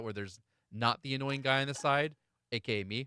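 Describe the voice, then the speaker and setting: Over music in the background, a man talks at a medium pitch with ordinary pitch variation, the sound dry and close with no echo. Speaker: gaming streamer. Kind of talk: casual chat. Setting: live stream.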